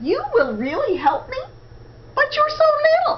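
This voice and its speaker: Over clear background noise, a woman puts on a squeaky character voice pitched extremely high. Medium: read story.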